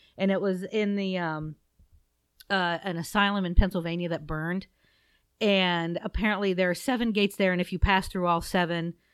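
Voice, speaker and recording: A woman with a Midwestern accent and a fairly low pitch, in a very clean recording with a silent background. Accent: US Midwest (Ohio). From Southeast Ohio. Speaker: podcast co-host. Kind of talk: casual chat.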